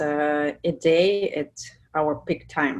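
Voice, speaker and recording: In a Russian accent, a woman talks with fairly even intonation. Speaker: product manager. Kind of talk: webinar presentation. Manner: halting, many fillers.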